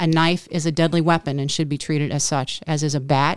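Recorded very cleanly with a silent background, a woman with an ordinary speaking voice talks at a moderate pace and a fairly low pitch. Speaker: co-host. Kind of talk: casual chat. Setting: outdoors.

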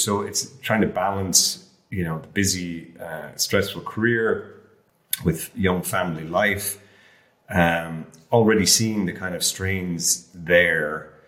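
Speaking with an Irish accent, a man talks at a very slow pace. His pitch is very deep and low, with ordinary variation. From rural Ireland. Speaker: health coach, former airline lawyer. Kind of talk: casual chat.

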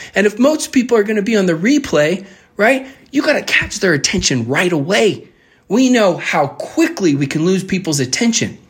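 A soft-spoken man with a high pitch talks at a fairly quick pace. His loudness stays very even while his pitch swings very widely. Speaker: podcast host. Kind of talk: tutorial. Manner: soft-spoken naturally, pushes for high energy; instructive, conversational.

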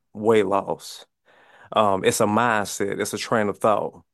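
A man's fairly low-pitched voice with a Mississippi accent. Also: quiet background. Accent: US Southern, Mississippi. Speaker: fitness coach. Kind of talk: podcast interview.

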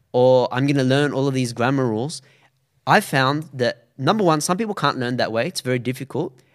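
On a very clean recording with a silent background, a man with an Australian accent talks at a fairly quick pace, with a medium pitch and ordinary pitch variation. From Australia, Sydney. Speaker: Arabic teacher, science graduate. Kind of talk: interview conversation.

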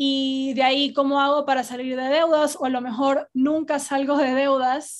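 A woman's high-pitched voice at a fairly slow pace. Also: quiet background. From Ecuador, Guayaquil. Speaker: podcast host on personal finance. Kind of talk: solo podcast monologue.

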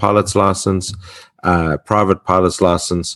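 A man with an Australian accent at a moderate pace. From Australia (Perth, Western Australia). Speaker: podcast host. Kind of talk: podcast interview. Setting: remote call.

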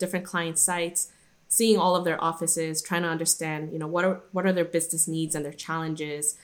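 Speaking with an American accent, this voice stays monotone, its intonation flat throughout. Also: woman. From Guadalajara, Mexico, later Irvine, California. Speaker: workplace strategy manager. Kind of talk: interview conversation. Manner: hesitant, many fillers and restarts.

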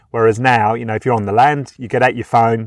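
This man speaks with a British accent at a medium pitch. His intonation is fairly even, and the sound is dry and close with no echo. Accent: British, noticeable. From UK. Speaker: gambling help community engagement officer. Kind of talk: interview.

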